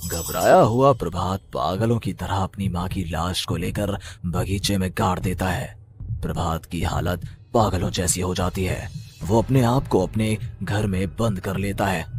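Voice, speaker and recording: Using a cartoonish character voice, a man speaks at a moderate pace in a very deep, low pitch, with clear background noise. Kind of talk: horror narration.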